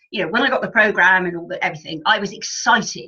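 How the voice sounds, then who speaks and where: This woman speaks at a fairly quick pace. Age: 60s. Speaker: health and wellness coach. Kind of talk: podcast interview. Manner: halting, many fillers and restarts.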